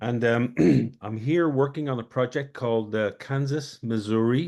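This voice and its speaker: With an Irish accent, a man speaks at medium pitch with ordinary pitch variation. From Ireland. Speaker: community project organizer. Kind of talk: self-introduction in online meeting. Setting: video call.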